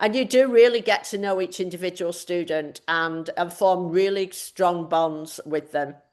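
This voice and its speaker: With an English accent, a woman talks at a fairly slow pace and fairly low pitch, with ordinary pitch variation and hardly any pauses. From northern England, Manchester. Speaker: math department chair. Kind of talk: online information session presentation.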